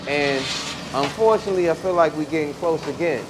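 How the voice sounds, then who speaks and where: With a DC accent, a man talks at a moderate pace and a fairly high pitch over noticeable background noise. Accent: DC accent, noticeable r-sounds. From Washington, DC. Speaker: rapper. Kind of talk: casual podcast chat. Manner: animated.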